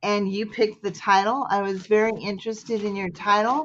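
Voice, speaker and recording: A woman with a Midwestern US accent speaks at a moderate pace and medium pitch over a quiet background. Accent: Midwestern accent, calls it plain. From US Midwest. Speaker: poetry group founder and host. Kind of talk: casual chat.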